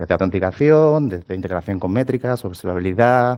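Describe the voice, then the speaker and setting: With an Andalusian accent, a man speaks very fast in a dark, mellow tone and ordinary pitch variation. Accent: southern Spanish (Andalusian). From southern Spain, Cádiz. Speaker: tech lead, conference speaker. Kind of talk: tech talk at meetup.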